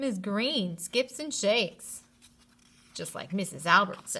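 Bright, sharp and carrying a slightly husky edge, the voice moves at a slow pace with lively intonation. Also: woman, medium pitch for a woman.

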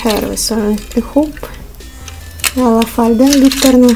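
A woman's fairly high-pitched voice, dark and mellow in tone, over faint music in the background.

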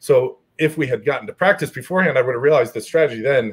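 Over a quiet background, a man with an American accent speaks at a fairly quick pace. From New Jersey (Morris County); New Jersey. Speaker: strongman athlete; guest. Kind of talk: casual chat. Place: home room.

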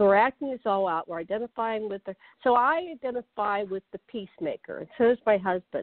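At a fairly quick pace, a woman with an ordinary speaking voice talks at a fairly high pitch with ordinary pitch variation. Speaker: panel guest. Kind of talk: panel discussion.

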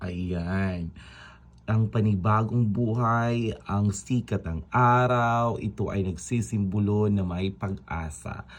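Speaking at a very slow pace against a quiet background, a man uses a fairly low pitch, a warm tone and ordinary pitch variation. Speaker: vlogger; overseas Filipino teacher. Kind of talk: motivational pep talk vlog. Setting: outdoors at sunrise. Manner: upbeat, animated, enthusiastic; repetitive, warm and encouraging.

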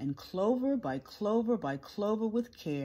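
The speaker uses an unforced reading voice with lively intonation.

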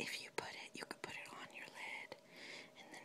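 The speaker whispers at a moderate pace. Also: woman. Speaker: ASMR creator, makeup enthusiast. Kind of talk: casual talk to camera, product show-and-tell. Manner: whispered, relaxing. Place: home room. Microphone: phone near.

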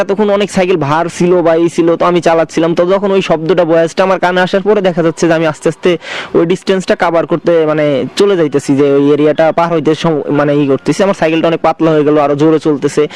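Noticeable background noise sits behind a man with a high pitch, fairly even intonation and very even loudness, heard in a dry, close sound with no echo. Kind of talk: personal ghost experience told to radio show. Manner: casual, hesitant.

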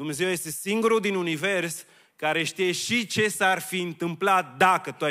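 Fairly slow speech over a quiet background. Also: man. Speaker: preacher. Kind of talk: sermon. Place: church. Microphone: handheld.

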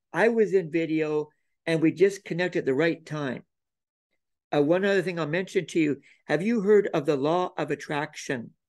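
In a Canadian accent, a man with a high pitch speaks at a moderate pace with ordinary pitch variation. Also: quiet background. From Canada (Alberta). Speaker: video producer and author. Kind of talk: interview. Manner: soft-spoken. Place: home room. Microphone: video call.

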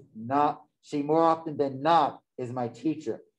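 A man with a fairly high voice speaks at a moderate pace. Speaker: conference moderator. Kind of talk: moderating a conference session. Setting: video call. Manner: halting.

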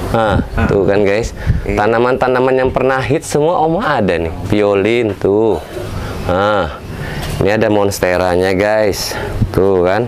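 With long, frequent pauses, the talking goes fairly slowly, and noticeable background noise can be heard. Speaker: video host. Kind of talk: casual talk to camera. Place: garden. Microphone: phone near.

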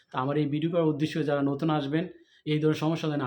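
Here a man talks at a fairly high pitch. His intonation is monotone and flat. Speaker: YouTube vlogger. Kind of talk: vlog interview.

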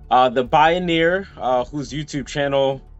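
A man with ordinary pitch variation over faint music in the background. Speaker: interview host. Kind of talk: interview intro. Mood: excited, warm. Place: home room. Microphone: video call.

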